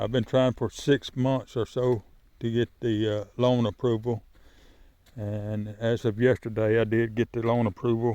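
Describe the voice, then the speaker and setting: In a Southern US accent, a man talks at a moderate pace and medium pitch with monotone, flat intonation. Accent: rural Southern US. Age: 50s. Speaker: poultry farmer. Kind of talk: casual vlog talk to camera. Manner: halting, with fillers and restarts.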